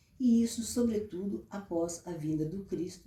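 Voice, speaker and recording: With a dark, mellow, somewhat breathy tone, a woman speaks at medium pitch and a fairly slow pace with ordinary pitch variation. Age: 70s. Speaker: therapist and author. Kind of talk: book presentation talk.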